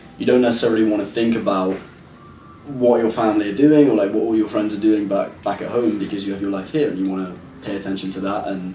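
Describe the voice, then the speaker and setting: Over noticeable background noise and audible room echo, a man with a slight British accent talks at a very fast pace in a fairly low pitch with fairly even intonation. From London, England. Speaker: actor and producer. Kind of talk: interview.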